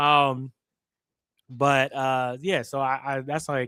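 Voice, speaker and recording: A man at a medium pitch in a very clean recording with a silent background. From New Jersey. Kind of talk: casual chat. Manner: fast.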